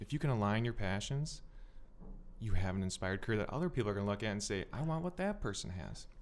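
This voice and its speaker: Speaking at a very fast pace with lively intonation, a man with an Upper Midwest accent has a fairly low pitch. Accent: Upper Midwest American. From Minnesota, South Metro. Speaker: accountant. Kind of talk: podcast interview.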